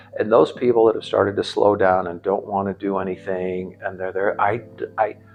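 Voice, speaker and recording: A man's fairly low voice in a monotone, flat delivery at a fairly quick pace, with music in the background. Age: 60s. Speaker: gym member, older CrossFit athlete. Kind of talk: interview testimony. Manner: halting, many fillers.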